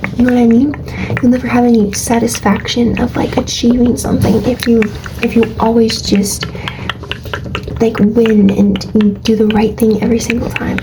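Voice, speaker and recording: Soft-spoken whispering at very even loudness, over noticeable background noise. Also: woman, moderate pace. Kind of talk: ASMR soft-spoken affirmations and life advice. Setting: low-quality mic recording. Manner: soft-spoken, whispery, relaxing.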